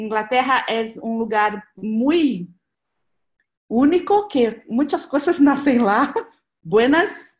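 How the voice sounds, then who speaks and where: This woman has a Portuguese accent. Her pitch is high. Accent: Portuguese-accented Spanish (portuñol). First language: Portuguese (speaking Spanish). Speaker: presenter on transition movement network. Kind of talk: online seminar presentation. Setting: video call. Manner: halting.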